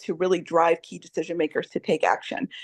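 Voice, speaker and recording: In an American accent, a woman with a fairly low pitch talks at a fairly quick pace, the sound dry and close with no echo against a quiet background. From upstate New York. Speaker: nonprofit director. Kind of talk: online discussion. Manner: fast.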